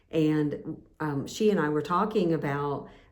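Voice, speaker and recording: With audible room echo, a woman speaks at a fairly slow pace in a very deep, low pitch. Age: 60s. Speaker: nurse and channel host. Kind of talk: casual talk to camera. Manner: halting, many fillers.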